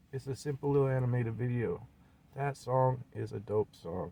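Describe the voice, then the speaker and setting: This voice has a dark, mellow tone, somewhat breathy, with an American accent. It moves at a fairly quick pace with ordinary pitch variation. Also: man. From US Pacific Northwest, Seattle. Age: 40s. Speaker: independent rapper and video blogger. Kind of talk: personal monologue vlog. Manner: animated.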